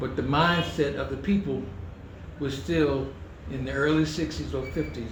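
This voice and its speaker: Noticeable background noise and audible room echo around a man with an American accent. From New York City and northern Virginia, US. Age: 70s. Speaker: athletics coach. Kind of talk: interview. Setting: hotel venue. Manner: conversational, frequent okay fillers.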